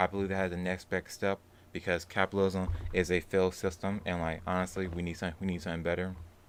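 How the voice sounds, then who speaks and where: Delivered very fast in a flat monotone, the speech sits on a very clean recording with a silent background. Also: man, very deep, low pitch for a man. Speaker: livestream host. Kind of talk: casual livestream commentary. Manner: informal, filler-heavy.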